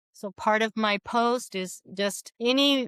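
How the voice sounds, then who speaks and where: In a very clean recording with a silent background and a dry, close sound with no echo, a woman uses a normal speaking voice, fairly high in pitch with ordinary pitch variation. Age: 60s. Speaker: podcast guest, author and coach. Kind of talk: casual interview chat.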